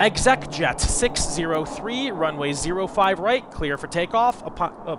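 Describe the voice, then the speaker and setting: Over noticeable background noise, a man with a high voice talks at a fairly slow pace with lively intonation. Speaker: gaming video creator. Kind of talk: gameplay commentary. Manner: casual.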